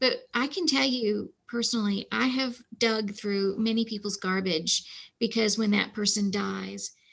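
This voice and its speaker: The woman's pitch is fairly high, with ordinary pitch variation. She speaks at a fairly slow pace. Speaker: archivist librarian. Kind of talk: presentation with Q&A. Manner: halting, many fillers.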